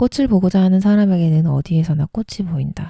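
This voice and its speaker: The voice is somewhat breathy, with a calm, gentle and dark, mellow tone. It sounds dry and close, with no echo. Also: woman. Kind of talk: essay reading aloud, bedtime narration. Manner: calm, soft, gentle.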